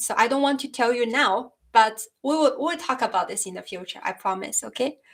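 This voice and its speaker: With a non-native accent, a woman speaks at a moderate pace. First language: Chinese. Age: 30s. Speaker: YouTuber discussing philosophy. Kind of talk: live stream chat. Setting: live stream. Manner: halting. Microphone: new microphone.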